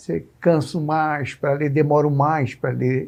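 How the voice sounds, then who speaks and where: A man speaks at a very slow pace. His fairly high pitch follows fairly even intonation. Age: 60s. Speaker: TV interviewer. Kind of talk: interview. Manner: halting.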